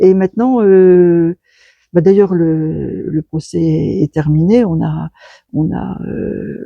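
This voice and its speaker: With a dry, close sound and no echo, the talking proceeds very slowly. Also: woman. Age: 70s. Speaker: sculptor. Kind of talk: interview. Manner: halting.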